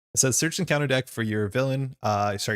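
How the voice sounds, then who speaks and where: Talking at a very fast pace with ordinary pitch variation, a man comes through a dry, close sound with no echo in a very clean recording with a silent background. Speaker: card game streamer. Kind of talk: live stream gameplay chat.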